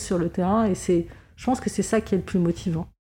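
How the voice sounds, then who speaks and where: Over a silent background in a very clean recording, a woman speaks at a medium pitch with a dark, mellow tone and fairly even intonation. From Lebanon. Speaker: fundraising agency director. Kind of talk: interview. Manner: halting, frequent word repetitions.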